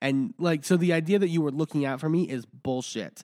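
This man speaks at a moderate pace with an American accent, the recording very clean and the background silent. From Texas. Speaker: podcast host. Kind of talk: casual chat.

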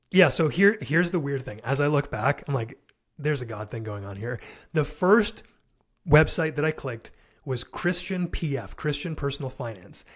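On a very clean recording with a silent background, a man with a fairly high, somewhat breathy voice speaks at a moderate pace with lively intonation and big swings in loudness. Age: 30s. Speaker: entrepreneur and fatherhood podcaster. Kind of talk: casual interview.

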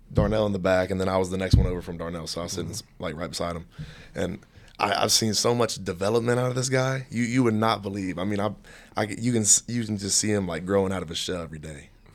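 Talking very fast with an East Tennessee accent, a man uses a fairly low pitch and ordinary pitch variation. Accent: Southern US (East Tennessee). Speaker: college football player. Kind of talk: casual chat.

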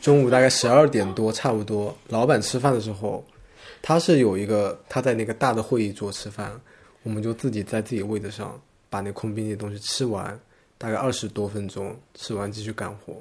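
A man talks at a fairly quick pace, his fairly low pitch held in fairly even intonation. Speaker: graphic designer. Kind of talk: casual chat.

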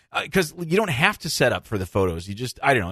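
Speaking at a very fast pace against a quiet background, a man talks at a medium pitch. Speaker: dentist podcast host. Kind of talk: casual interview chat.

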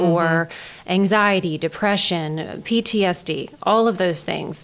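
Using a fairly slow pace, a woman talks in a fairly low voice with an American accent. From Maryland Eastern Shore, Denton. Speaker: county behavioral health director. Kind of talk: interview. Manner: halting.

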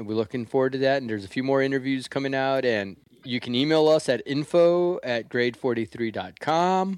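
A man talks in a plain, everyday voice at medium pitch, with ordinary pitch variation, a fairly quick pace and hardly any pauses, against a quiet background. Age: 50s. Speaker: podcast host. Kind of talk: casual chat. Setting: video call.

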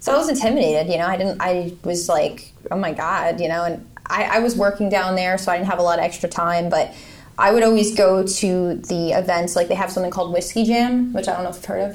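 Speaking at a very fast pace, a woman with an American accent uses a medium pitch and ordinary pitch variation. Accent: Northeastern American with a country twang. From US Northeast (Connecticut). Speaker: country singer and army veteran. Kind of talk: casual interview chat.

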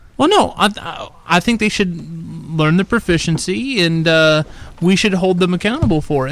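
There is noticeable background noise behind this man's high-pitched voice, which varies in pitch in an ordinary way. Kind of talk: casual chat.

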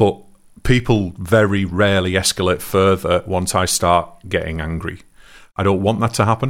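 On a very clean recording with a silent background, a man speaks at a fairly low pitch with fairly even intonation. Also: moderate pace. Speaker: podcast co-host. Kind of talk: casual chat. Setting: live stream.

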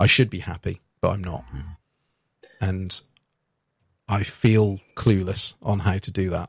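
A man with a British accent speaks at a fairly slow pace in a fairly low pitch, somewhat breathy and with monotone, flat intonation. Long, frequent pauses break it up, in a dry, close sound with no echo. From UK. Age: 30s. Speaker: podcast host. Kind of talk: casual chat.

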